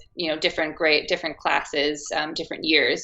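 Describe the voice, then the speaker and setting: Here is a woman speaking with an American accent. Her tone is bright and sharp. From US, Arizona. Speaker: actress. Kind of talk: interview.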